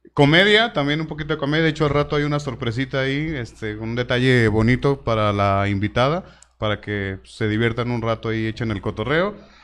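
Fairly quick, hardly pausing speech from a man, medium in pitch, with lively intonation and an unremarkable speaking voice. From Tlaquepaque, Jalisco, Mexico. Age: 30s. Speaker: podcast host, stand-up comedian and impressionist. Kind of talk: casual chat; live show presenting.

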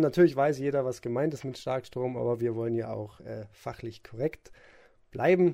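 On a very clean recording with a silent background, a man of medium pitch speaks at a moderate pace in a dark, mellow tone. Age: 20s. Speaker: event technician. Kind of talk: expert interview.

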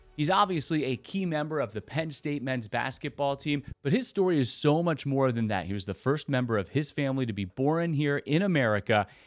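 Fairly quick and medium-pitched, a man talks in a plain, everyday voice. The recording is very clean with a silent background and a dry, close sound with no echo. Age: 30s. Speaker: podcast host. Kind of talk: interview; scripted intro.

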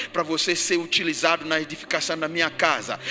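With noticeable background noise, a man talks at a moderate pace in a fairly high pitch. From Ghana. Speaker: pastor. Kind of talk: sermon. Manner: repetitive, emphatic preaching.

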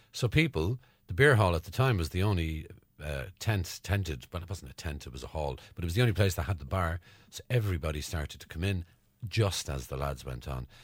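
A man with an Irish accent speaks at a very deep, low pitch with vocal fry. His intonation is lively and his pace fairly quick. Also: very clean recording, silent background. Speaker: podcast host. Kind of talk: casual chat. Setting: studio.

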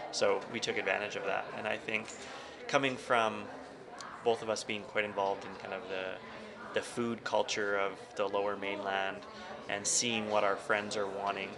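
A man with a western Canadian accent and fairly low pitch speaks at a moderate pace in a monotone, flat intonation, with long, frequent pauses. Noticeable background noise and audible room echo are present. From northern Alberta, Canada. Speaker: attorney and cattle rancher. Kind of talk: podcast interview.

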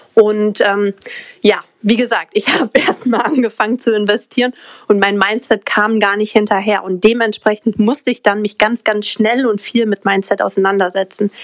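This woman's pitch is fairly high. Her intonation is monotone and flat. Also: moderate pace. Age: 20s. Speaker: mindset coach and crypto entrepreneur. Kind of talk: podcast interview.

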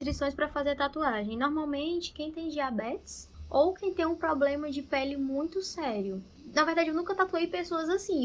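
A woman's high-pitched voice keeps a moderate pace. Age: 20s. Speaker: tattoo artist. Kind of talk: casual explanation.

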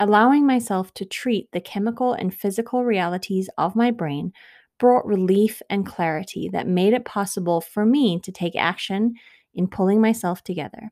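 On a very clean recording with a silent background and a dry, close sound with no echo, a woman of medium pitch speaks at a moderate pace in an American accent with ordinary pitch variation. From South Africa (Johannesburg) until 12, then California. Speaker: podcast host. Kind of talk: personal solo monologue.

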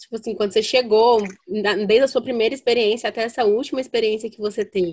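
A woman with a fairly high pitch talks at a very fast pace, her intonation fairly even and her loudness swinging widely. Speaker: podcast host. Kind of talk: casual chat.

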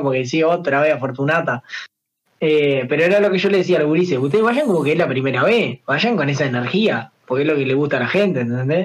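A man with a fairly high pitch and ordinary pitch variation speaks at a fairly quick pace. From Uruguay, San José. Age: 20s. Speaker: singer and streamer. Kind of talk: casual chat.

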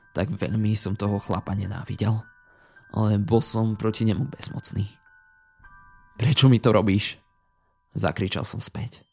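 A man's fairly low, dramatic voice at a fairly slow pace, fairly even in intonation, broken by long, frequent pauses, with music in the background. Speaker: creepypasta narrator. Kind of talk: ghost story telling, first-person horror narration. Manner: suspenseful, hushed and slow-building, dramatic.

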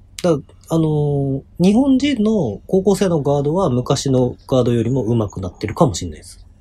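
A man's fairly high, somewhat breathy voice with a dark, mellow tone, moderate pace, very wide pitch swings and big swings in loudness. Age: 30s. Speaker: basketball podcast co-host. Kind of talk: casual chat.

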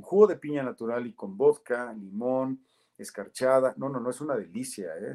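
A man with a central Mexican accent speaks at a moderate pace. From central Mexico, Toluca. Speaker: football commentator. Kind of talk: interview.

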